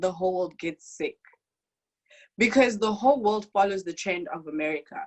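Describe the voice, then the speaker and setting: Talking at a fairly quick pace in an African accent, a woman has a medium pitch, ordinary pitch variation and an animated tone. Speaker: international university student. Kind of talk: testimony. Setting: video call.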